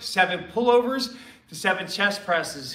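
In a raised, projected voice with ordinary pitch variation, a man speaks amid audible room echo. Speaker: fitness coach. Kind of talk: workout instruction. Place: gym. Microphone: camera far.

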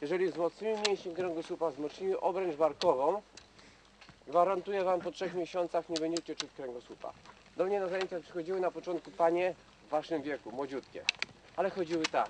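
The voice moves at a fairly quick pace with fairly even intonation, in a dry sound with no echo but noticeable background noise. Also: man, high pitch for a man. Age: 50s. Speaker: Nordic walking champion and instructor; instructor. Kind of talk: outdoor instruction to a group. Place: forest. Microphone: camera far.

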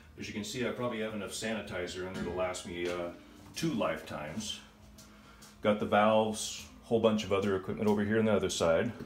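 With audible room echo and faint music in the background, a man talks at a fairly quick pace. His fairly low pitch shows ordinary pitch variation. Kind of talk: casual tour explanation. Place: home room. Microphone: phone near.

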